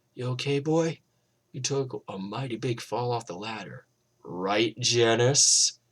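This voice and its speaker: A put-on character voice from a man, delivered at a fairly slow pace. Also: medium pitch for a man, ordinary pitch variation. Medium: read story. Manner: slow, calm and menacing.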